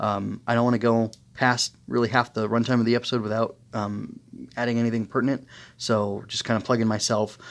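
A man at a fairly quick pace and medium pitch, a plain, everyday voice, on a very clean recording with a silent background. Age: 30s. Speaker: anime review podcaster. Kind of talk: solo review monologue. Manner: casual with many fillers.

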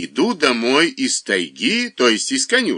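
The text is read aloud in a plain manner.

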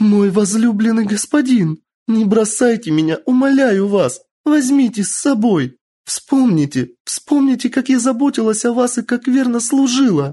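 A put-on character voice, fairly high in pitch, at a moderate pace. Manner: pleading, desperate.

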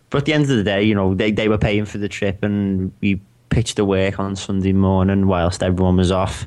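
A man with a Liverpool accent talks at a fairly quick pace in a fairly low pitch. His intonation is monotone and flat, over a quiet background. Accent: Scouse. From Liverpool, England. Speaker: podcast co-host, designer. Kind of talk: casual chat.

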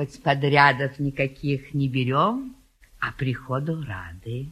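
Putting on a character voice, a woman speaks at a slow pace in an extremely low pitch with a slightly husky edge. Her tone is fairly bright and her intonation lively.

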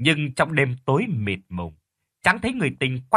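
Quiet surroundings behind a natural reading voice.

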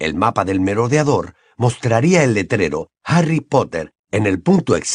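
The recording carries an unforced reading voice against a quiet background.

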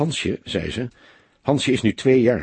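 The reading aloud is plain, with intonation that stays fairly even.

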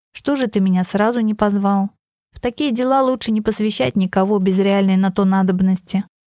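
Over a quiet background, a natural voice reads aloud with ordinary pitch variation.

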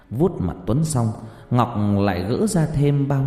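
The speaker is plain reading aloud. The intonation is lively.

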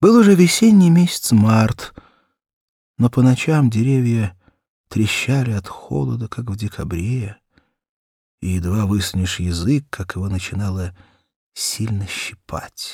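In a very clean recording with a silent background, a man speaks at a fairly slow pace with a fairly low pitch, ordinary pitch variation, a dark, mellow tone and a slightly husky edge.

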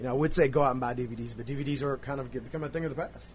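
A somewhat breathy man talks at a very fast pace in an animated, enthusiastic tone. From Louisville, Kentucky, US. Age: 40s. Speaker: wrestling podcast host and interviewer. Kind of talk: casual interview. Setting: live at wrestling event, backstage. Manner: animated, profane, enthusiastic.

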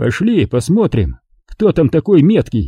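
Using a put-on character voice, a man speaks in a fairly high pitch. His pitch swings very wide. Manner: harsh, curt.

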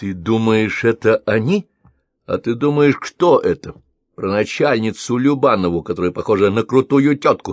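All around is quiet. A natural voice reads the text aloud.

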